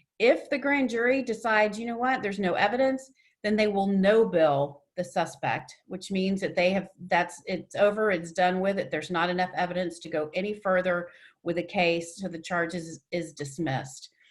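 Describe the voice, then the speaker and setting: Speaking in an ordinary speaking voice with an American accent, a woman keeps a medium pitch, a moderate pace and ordinary pitch variation. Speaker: domestic violence advocate and trainer. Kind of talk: webinar presentation.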